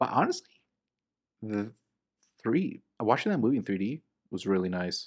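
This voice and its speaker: A man speaks at a moderate pace and a medium pitch. He leaves long, frequent pauses. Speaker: co-host, movie reviewer. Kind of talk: casual chat, movie review podcast. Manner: casual, joking.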